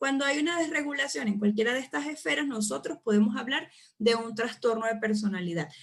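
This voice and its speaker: A woman's ordinary speaking voice, fairly high and fairly quick, with lively intonation. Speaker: psychology lecturer. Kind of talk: online lecture. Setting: live online class with chat.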